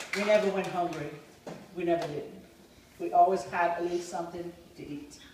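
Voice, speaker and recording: The pace is fairly quick but broken by long, frequent pauses, with noticeable background noise throughout. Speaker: family member, retired hairdresser. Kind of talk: casual reminiscing at family reunion. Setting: family reunion gathering.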